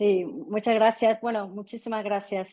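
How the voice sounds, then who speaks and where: A woman's dark, mellow voice at medium pitch, fairly slow and fairly even, with a dry, close sound, no echo and a quiet background. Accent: Brazilian. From Brazil. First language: Portuguese (speaking Spanish). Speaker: physician, panelist. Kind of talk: conference presentation.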